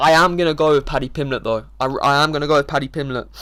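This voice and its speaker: A man rushes along at a very fast pace, keeping his intonation fairly even. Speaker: MMA YouTuber giving fight predictions. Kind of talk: casual fight predictions monologue. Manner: mumbling, many filler words.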